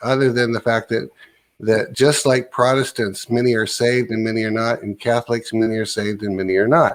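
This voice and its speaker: Using a plain, everyday voice, a man speaks at a moderate pace in a medium pitch with fairly even intonation. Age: 60s. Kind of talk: casual chat.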